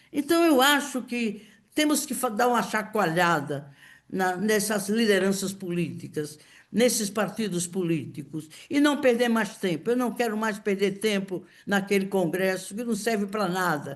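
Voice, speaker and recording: With lively intonation and a medium pitch, a woman speaks amid audible room echo. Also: fairly slow pace. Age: 80s+. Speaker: political activist. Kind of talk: speech at political meeting. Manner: impassioned; halting.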